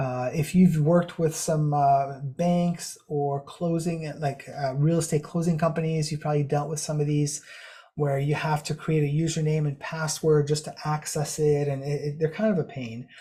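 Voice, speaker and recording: With hardly any pauses, a man speaks in a fairly high, somewhat breathy voice with monotone, flat intonation. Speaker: cybersecurity consultant presenting a webinar. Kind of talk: webinar presentation. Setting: online webinar. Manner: fast.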